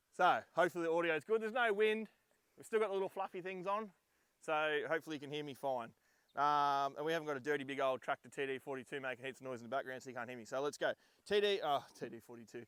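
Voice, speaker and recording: A man speaks with an Australian accent at a fairly high pitch. His intonation is lively, and the sound is dry and close with no echo. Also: big swings in loudness. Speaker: 4x4 vlogger. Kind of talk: vehicle rundown vlog. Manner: loud; hesitant, many ums.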